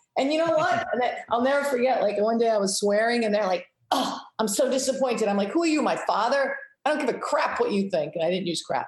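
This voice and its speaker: With an American accent, a woman speaks very fast in a high voice, her pitch swinging very widely while her loudness stays very even, amid audible room echo. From Rhode Island, US (Cranston). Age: 50s. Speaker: hockey coach. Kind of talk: interview.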